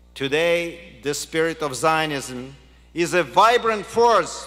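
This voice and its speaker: Lively intonation marks a man's very slow delivery. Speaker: keynote speaker. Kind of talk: formal speech. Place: hall. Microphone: podium.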